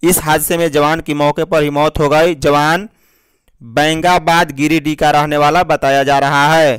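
With a clear, smooth and fairly bright tone, a man speaks at a fairly high pitch and a fairly slow pace, with little pitch movement.

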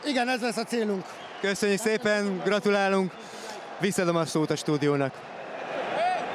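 A man's high voice with lively intonation, very even loudness and a moderate pace, broken by long, frequent pauses, over noticeable background noise. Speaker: pitchside reporter. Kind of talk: interview. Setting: stadium.

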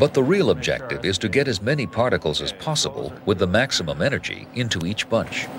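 Amid noticeable background noise, a man talks at a very fast pace. His pitch swings very widely. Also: medium pitch for a man. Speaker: documentary narrator. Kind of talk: 1990 TV science documentary narration, scripted and read. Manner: measured, authoritative, formal, steady pace.

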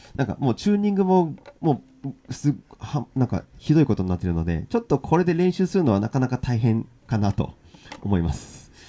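A man's dark, mellow tone with very wide pitch swings at a fairly quick pace. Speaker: ukulele and guitar teacher; ukulele teacher. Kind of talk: live-streamed lesson. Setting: live stream. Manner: casual, filler-heavy. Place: home room. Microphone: crackling audio noise; studio mic.

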